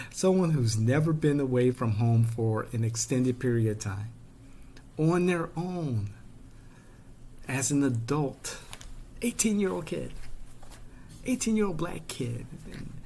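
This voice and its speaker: A man's somewhat breathy, dark, mellow voice with a Chicago South Side accent and lively intonation, fairly slow, with long, frequent pauses. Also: medium pitch for a man. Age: 50s. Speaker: political commentator. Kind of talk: personal storytelling monologue. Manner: animated.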